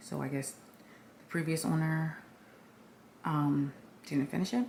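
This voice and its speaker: Somewhat breathy, a woman speaks in a very deep, low pitch with ordinary pitch variation. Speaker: lifestyle vlogger. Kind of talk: casual vlog house tour. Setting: at home. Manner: many filler ums.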